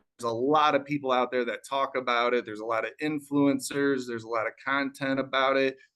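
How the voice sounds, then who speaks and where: A man with a fairly high voice speaks with a slight Chicago accent. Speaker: real estate wholesaler. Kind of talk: business talk on live panel. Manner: calm.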